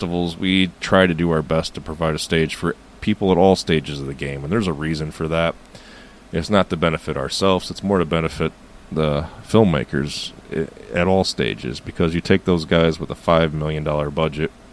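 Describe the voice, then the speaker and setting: There is noticeable background noise as a man with a very deep, low voice talks at a fairly quick pace with fairly even intonation. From United States. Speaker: filmmaker. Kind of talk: interview answer.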